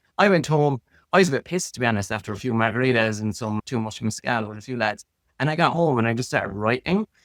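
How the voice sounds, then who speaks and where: Talking at a very fast pace with lively intonation and an Irish accent, a man is heard in a very clean recording, dry and close with no echo over a silent background. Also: medium pitch for a man. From Ireland. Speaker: designer. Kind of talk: casual chat. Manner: animated.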